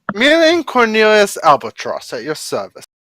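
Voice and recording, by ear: This voice has a bright, sharp tone and very wide pitch swings at a moderate pace.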